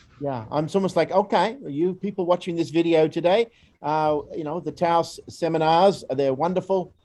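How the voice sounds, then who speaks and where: With a dark, mellow tone yet a high pitch, a man speaks at a moderate pace with ordinary pitch variation. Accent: Australian. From Australia. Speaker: educator, volunteer program staff. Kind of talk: presentation. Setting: recorded video. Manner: hesitant, many fillers.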